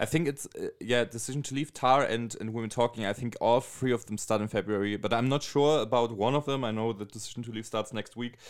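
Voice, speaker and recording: In a German accent, the speech runs at a very fast pace with hardly any pauses and fairly even intonation. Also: man, medium pitch for a man. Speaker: podcast host. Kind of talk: casual chat.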